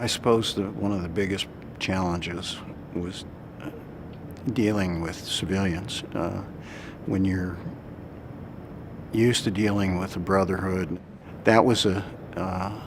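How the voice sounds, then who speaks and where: An American accent, fairly even intonation and a fairly slow pace, with long, frequent pauses, audible room echo and noticeable background noise. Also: man, very deep, low pitch for a man. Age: 60s. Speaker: war veteran. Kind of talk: testimony. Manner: halting, many fillers.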